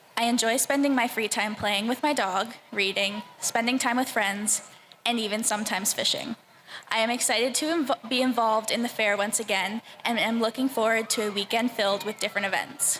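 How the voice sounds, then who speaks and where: A woman with a fairly high voice speaks at a fairly quick pace, her loudness very even and her intonation fairly even, amid noticeable background noise. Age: 20s. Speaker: fair ambassador contestant. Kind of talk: prepared speech.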